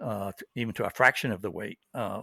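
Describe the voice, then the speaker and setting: A man talks with ordinary pitch variation in a dry, close sound with no echo, captured in a very clean recording against a silent background. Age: 60s. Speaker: amputee runner, podcast guest. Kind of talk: interview. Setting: podcast interview. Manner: halting, many fillers.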